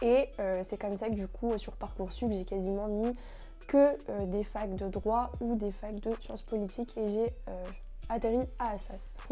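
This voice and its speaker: Over background music, a woman with a fairly high pitch speaks at a fairly slow pace with fairly even intonation. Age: 20s. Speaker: law student, founder of a student association. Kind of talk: interview answers, casual. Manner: hesitant, many fillers.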